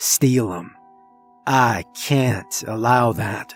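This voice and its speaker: A man does a put-on character voice, raspy and medium in pitch. Faint music plays in the background. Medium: read story. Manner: cryptic, intense.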